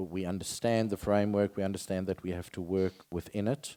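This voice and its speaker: Speaking at a fairly quick pace, a man with a South African accent has a fairly low pitch and a dark, mellow tone, recorded very cleanly with a silent background and a dry, close sound with no echo. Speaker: insurance company director on a panel. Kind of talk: panel discussion.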